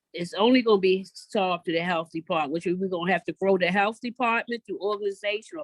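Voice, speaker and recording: An unremarkable speaking voice from a woman with an American accent, medium pitch and fairly even intonation, dry and close with no echo. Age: 60s. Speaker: community organizer for mothers of violence victims. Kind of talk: panel discussion.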